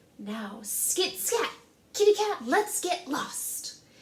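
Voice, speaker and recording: A woman puts on a character voice, pitched extremely high and delivered at a very slow pace. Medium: read story. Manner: shrill, fiery.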